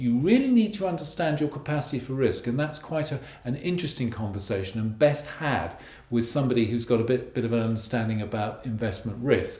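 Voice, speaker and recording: Speaking at a very fast pace with a British accent, a man uses lively intonation at a medium pitch, with audible room echo and noticeable background noise. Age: 60s. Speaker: financial planner. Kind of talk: video blog monologue. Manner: conversational, with hesitations.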